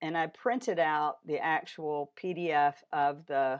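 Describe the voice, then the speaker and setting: The speaker is a woman. Her voice sits very deep and low in pitch. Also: quiet background. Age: 60s. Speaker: AI educator and community founder. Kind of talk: tutorial. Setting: home studio.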